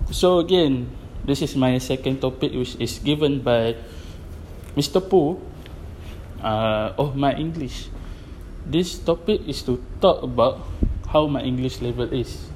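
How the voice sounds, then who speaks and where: A man's fairly high, somewhat breathy voice in a Malaysian accent, fairly slow with long, frequent pauses and ordinary pitch variation. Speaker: photographer and club DJ. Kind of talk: personal monologue podcast. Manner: halting.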